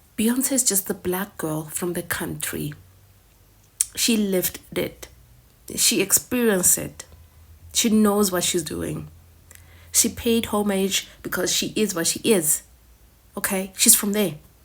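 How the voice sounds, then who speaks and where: Fairly slow delivery with long, frequent pauses, an animated tone, and noticeable background noise. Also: woman, medium pitch for a woman, ordinary pitch variation. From South Africa. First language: Sepedi (Northern Sotho). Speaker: reaction video creator. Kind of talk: reaction commentary.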